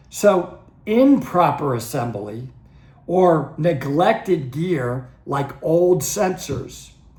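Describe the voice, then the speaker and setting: Audible room echo surrounds the voice. A man speaks at a fairly high pitch. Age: 60s. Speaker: dive instructor and channel host. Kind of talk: educational talk to camera. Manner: conversational, some stammering restarts.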